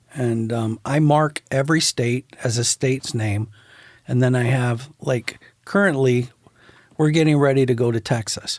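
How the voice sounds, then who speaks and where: A man with an American accent speaks in a plain, everyday voice at medium pitch and a moderate pace. The recording is very clean with a silent background and a dry, close sound with no echo. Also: ordinary pitch variation. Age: 60s. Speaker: photographer. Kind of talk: casual chat.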